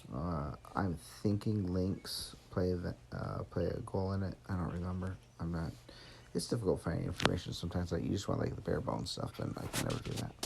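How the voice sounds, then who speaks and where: A man with an American accent speaks in a very deep, low pitch, somewhat breathy. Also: ordinary pitch variation, fairly quick pace. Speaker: gaming streamer; military veteran. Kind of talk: casual gameplay commentary. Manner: halting, frequent pauses.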